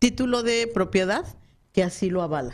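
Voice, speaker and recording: A woman with an unremarkable speaking voice talks at a moderate pace, her medium pitch rising and falling in lively intonation. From Mexico. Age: 40s. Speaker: businesswoman and former radio producer. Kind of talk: casual interview. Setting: radio studio.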